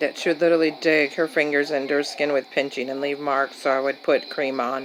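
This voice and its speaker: Flat, monotone intonation at a fairly quick pace over noticeable background noise. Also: woman, very deep, low pitch for a woman. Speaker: caregiver daughter. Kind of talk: voice-over narration of home camera footage.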